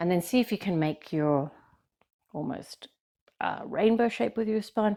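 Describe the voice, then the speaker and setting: A woman with an Australian accent, a dark, mellow tone, lively intonation and a fairly slow pace. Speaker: yoga teacher. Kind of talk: guided yoga class instruction. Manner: gentle, kind.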